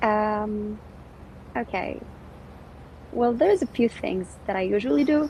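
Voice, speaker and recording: The voice is dark, mellow and somewhat breathy, with lively intonation and long, frequent pauses. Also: woman, fairly high pitch for a woman, fairly slow pace. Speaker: English language instructor. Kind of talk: casual chat. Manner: energetic.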